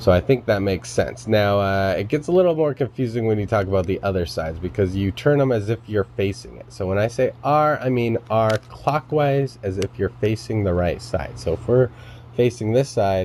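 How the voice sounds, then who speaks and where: Speaking at a fairly low pitch and a moderate pace, a man uses lively intonation with hardly any pauses against noticeable background noise. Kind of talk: tutorial explanation to camera. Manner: casual, many filler words.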